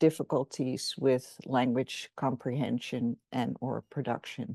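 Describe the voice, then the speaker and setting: A woman with a Dutch accent speaks very slowly in a dark, mellow tone. The sound is dry and close with no echo, over a quiet background. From Netherlands. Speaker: professor. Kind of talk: interview.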